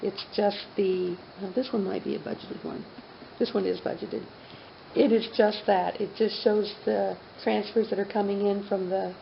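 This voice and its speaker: A woman's medium-pitched, flat, monotone voice at a moderate pace, with audible room echo and noticeable background noise. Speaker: city finance official. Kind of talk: council meeting budget presentation. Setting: city council meeting.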